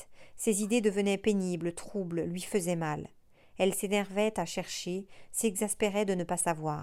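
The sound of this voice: Text delivered in an unforced reading voice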